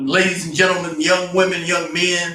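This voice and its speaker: A man with an American accent speaks in a raised, projected voice with a bright, sharp tone. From Detroit, Michigan, US Midwest. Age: 60s. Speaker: real estate entrepreneur and vlogger. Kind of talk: personal commentary vlog. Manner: halting, many fillers and repeats; passionate.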